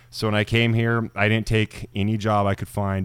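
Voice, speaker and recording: A man talks at a fairly quick pace with a Western US accent in a very clean recording with a silent background. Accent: General American, western US. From Idaho, US. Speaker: actor and army veteran, former firefighter. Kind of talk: casual interview chat.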